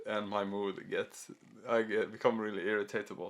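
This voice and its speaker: This man has a Swedish accent and a medium pitch. He speaks at a moderate pace. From Sweden. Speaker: YouTuber. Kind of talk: casual talking video. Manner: halting.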